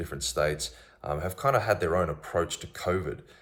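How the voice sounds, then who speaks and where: The speaker is a man with an Australian accent. He keeps his intonation fairly even. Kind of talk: casual monologue to camera. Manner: hesitant, many fillers.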